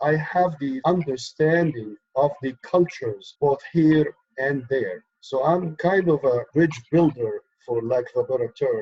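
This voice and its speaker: A man with a fairly high, somewhat breathy voice speaks at a fairly slow pace. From Egypt. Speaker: activist, organization co-founder. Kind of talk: interview.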